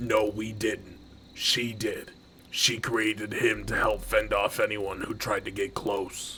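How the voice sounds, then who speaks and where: Putting on a raspy character voice, a man speaks fairly slowly over clear background noise. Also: medium pitch for a man. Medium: machinima. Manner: impatient, bossy.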